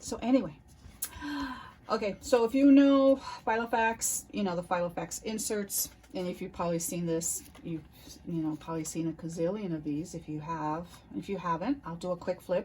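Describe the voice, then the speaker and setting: Speaking at a moderate pace, a woman has a dark, mellow, somewhat breathy tone and fairly low pitch. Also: lively intonation. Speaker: planner YouTuber. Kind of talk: casual chat.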